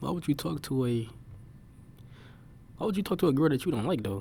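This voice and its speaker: A man speaks at a fairly quick pace in a dark, mellow tone with vocal fry. His pitch swings very widely. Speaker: reaction video creator. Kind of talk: casual reaction commentary. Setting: library. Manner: casual, many fillers; quiet, keeping voice down.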